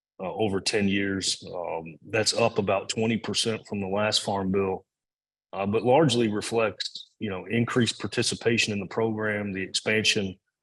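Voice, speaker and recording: Here a man speaks with a Kentucky accent at a moderate pace. His voice is fairly low, and his intonation stays fairly even. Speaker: agricultural policy expert. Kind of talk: Q&A answers at a talk. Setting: in-person event streamed on Zoom.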